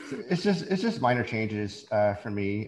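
This man has a plain, everyday voice with a fairly low pitch. His pitch shows ordinary variation. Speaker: social media creator. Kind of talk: casual chat.

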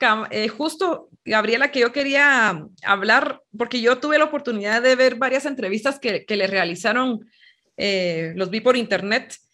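A woman with a fairly high pitch and a bright, sharp tone speaks over a quiet background. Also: lively intonation, fairly slow pace. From Guatemala. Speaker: podcast host. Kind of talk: interview. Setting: video call.

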